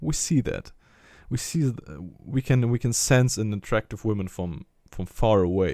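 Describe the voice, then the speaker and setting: This man's voice sits fairly low, with a dark, mellow tone. His intonation is lively, and the sound is dry and close with no echo. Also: very clean recording, silent background. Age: 20s. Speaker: religious motivational vlogger. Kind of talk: personal monologue. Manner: halting.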